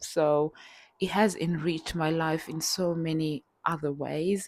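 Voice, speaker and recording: On a very clean recording with a silent background, a woman speaks at a fairly slow pace and fairly low pitch with fairly even intonation. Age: 40s. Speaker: vlogger sharing personal experience. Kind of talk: personal testimony vlog. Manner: halting, with repetitions and fillers.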